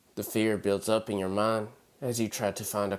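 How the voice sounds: This is a natural reading voice. The words come across in that manner throughout.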